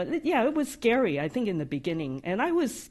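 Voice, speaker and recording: A woman with a slight non-native accent talks at a fairly quick pace against a quiet background. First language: not English. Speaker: AI practice lead, software developer advocate. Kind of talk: live podcast interview. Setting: live studio audience at company summit. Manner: occasional stutters and hesitations.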